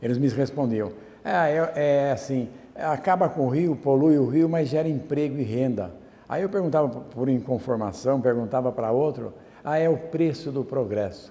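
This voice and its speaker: A man whose pitch is fairly high talks fairly slowly, with ordinary pitch variation. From Brazil, Jundiaí, São Paulo state. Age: 60s. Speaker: artisan.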